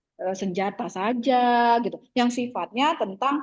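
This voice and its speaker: Her voice sits fairly high for a woman, with ordinary pitch variation and a moderate pace. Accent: Jambi. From Jambi, Sumatra (Kuala Tungkal, coastal). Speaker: university lecturer. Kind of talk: online lecture discussion. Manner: casual, filler-heavy (gitu, eh).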